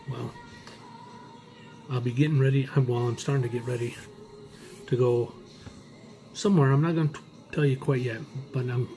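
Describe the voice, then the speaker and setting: Over music in the background, a soft-spoken man talks at a fairly quick pace with fairly even intonation. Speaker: vlogger. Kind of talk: casual vlog. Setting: in a car.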